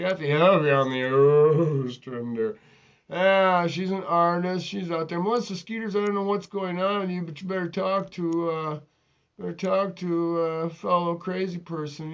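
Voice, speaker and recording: A man's high-pitched voice at a moderate pace. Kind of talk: zany improv comedy rant. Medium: game stream. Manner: excitable, rambling.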